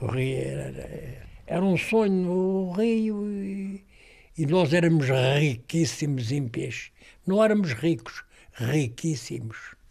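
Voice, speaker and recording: A man talks at a very slow pace. His fairly high voice carries lively intonation. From Ortiga, central Portugal. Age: 80s+. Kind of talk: interview.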